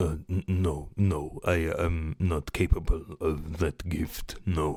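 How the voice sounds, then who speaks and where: A man's put-on character voice, very deep and low, with monotone, flat intonation and a very slow pace. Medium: actual play. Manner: hesitant, halting, repetitive.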